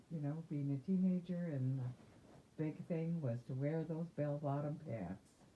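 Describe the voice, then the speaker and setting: A woman's very deep, low voice, dark and mellow in tone, with ordinary pitch variation and a fairly slow pace. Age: 60s. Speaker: interviewee, grandmother. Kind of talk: oral history interview. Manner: halting, with self-repairs.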